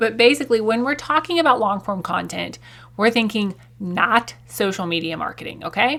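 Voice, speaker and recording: A woman speaks with a Southern US accent at a moderate pace. Her pitch is fairly high and her intonation lively. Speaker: podcast host. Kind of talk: podcast monologue. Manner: casual.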